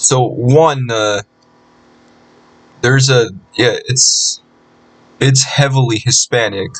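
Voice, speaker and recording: Long, frequent pauses break up a man's very slow speech. His medium-pitched voice is somewhat breathy, with fairly even intonation. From Southern California. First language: Spanish. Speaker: vlogger. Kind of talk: casual screen-recorded commentary. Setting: recording at home PC. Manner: halting, many repetitions.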